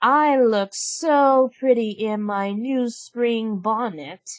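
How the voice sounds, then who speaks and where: A woman speaks very slowly in a put-on character voice, pitched fairly high, with ordinary pitch variation over a quiet background. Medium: read story. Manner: haughty, petulant.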